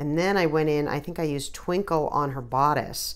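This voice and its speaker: A woman with an American accent speaks at a very deep, low pitch. Her intonation is fairly even, and there is vocal fry. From New Jersey. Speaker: watercolor artist. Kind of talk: tutorial. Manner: casual, hesitant with many fillers.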